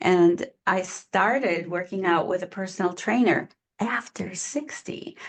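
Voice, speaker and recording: A woman with an ordinary speaking voice talks at a fairly slow pace with lively intonation against a quiet background. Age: 60s. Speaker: online business coach. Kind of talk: interview conversation. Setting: podcast interview.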